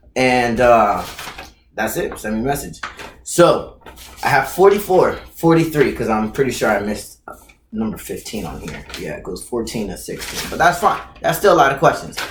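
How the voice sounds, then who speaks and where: With an animated tone, a man talks at a moderate pace, his loudness swinging widely. Echo from the room is audible. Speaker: YouTuber answering viewer questions. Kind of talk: casual Q&A vlog.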